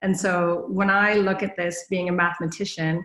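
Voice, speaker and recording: A woman with a fairly low voice speaks in a monotone, flat intonation. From Canada. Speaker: management consultant, conference speaker. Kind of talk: conference talk.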